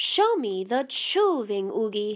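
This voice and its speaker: A woman puts on a character voice with lively intonation. Her pitch sits fairly high. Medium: read story. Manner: purring, theatrical, speaks of herself in third person.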